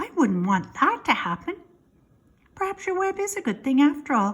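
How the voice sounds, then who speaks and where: In a put-on character voice, a woman speaks at a moderate pace and a high pitch with very wide pitch swings. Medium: read story. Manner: eager, earnest.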